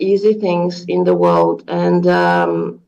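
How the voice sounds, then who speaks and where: Against a quiet background, a woman speaks with a French accent. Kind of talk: question at an online meeting. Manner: halting.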